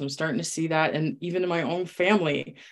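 A woman's very deep, low voice at a moderate pace. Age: 40s. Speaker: former nurse turned health coach. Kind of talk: casual chat.

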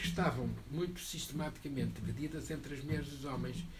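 The speaker talks at a fairly quick pace. Noticeable background noise and audible room echo fill the recording. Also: man. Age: 70s. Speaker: book presenter. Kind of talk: panel discussion. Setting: bookshop event with audience.

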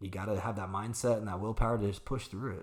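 A man talks at a fairly quick pace in an American accent, with fairly low pitch and fairly even intonation. His is an unremarkable speaking voice. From Arizona, US. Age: 40s. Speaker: martial arts instructor and studio owner. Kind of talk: casual interview chat.

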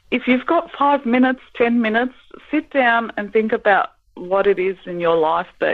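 An Australian accent at a moderate pace. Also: woman. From Melbourne, Australia (Greek parents). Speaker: author. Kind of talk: interview.

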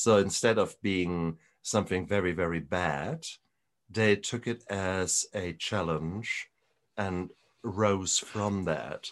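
Against a quiet background, a man with a German accent speaks very slowly in a very deep, low pitch with ordinary pitch variation. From Germany. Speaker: retired doctor and recovery podcaster. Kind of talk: interview conversation. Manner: animated.

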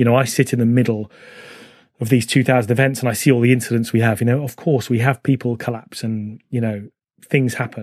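Fairly quick and monotone, a man speaks with flat intonation at medium pitch. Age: 40s. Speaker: running charity executive and podcast host. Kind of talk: interview.

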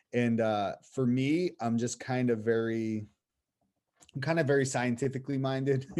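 A man with an American accent and an ordinary speaking voice talks at a moderate pace in a medium pitch, with fairly even intonation and very even loudness. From Boston area, US. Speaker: missionary. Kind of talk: casual interview.

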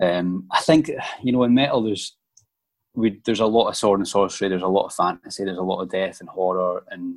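A man's fairly low-pitched voice with a Scottish accent. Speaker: metal musician. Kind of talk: casual interview.

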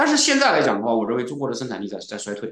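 A man speaks at a very fast pace. Vocal fry runs through his voice. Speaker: serial entrepreneur, programmer. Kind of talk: casual interview.

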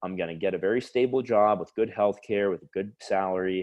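With an American accent and a plain, everyday voice, a man speaks at a fairly quick pace, keeping a fairly low pitch with ordinary pitch variation. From US South, South Florida. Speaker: startup founder. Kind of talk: interview.

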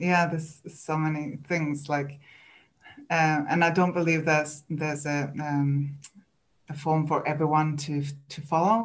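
The speaker talks at a fairly slow pace with a Swedish accent. The intonation stays monotone and flat. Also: woman. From Sweden. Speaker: coach for highly sensitive people. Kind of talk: casual interview chat.

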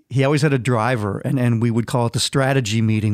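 The voice is a normal speaking voice with ordinary pitch variation. It sits on a very clean recording with a silent background. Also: man. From Minnesota. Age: 50s. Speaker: touring guitarist. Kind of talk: casual interview.

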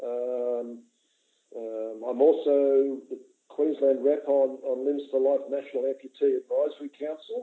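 A man with an Australian accent at a fairly slow pace. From Sydney, Australia. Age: 60s. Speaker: retired airline worker and amputee advocate. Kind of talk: interview. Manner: halting, many fillers.

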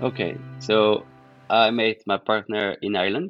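A man with a fairly low voice speaks in a French accent over music in the background. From Provence, France (Manosque). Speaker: partner of a podcast team member. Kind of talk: interview. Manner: halting.

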